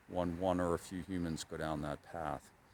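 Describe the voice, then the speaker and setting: Speaking in an American accent, a man with a very deep, low pitch keeps a monotone, flat intonation at a fairly slow pace. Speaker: cycling travel vlogger. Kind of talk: reflective video diary. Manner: low, subdued.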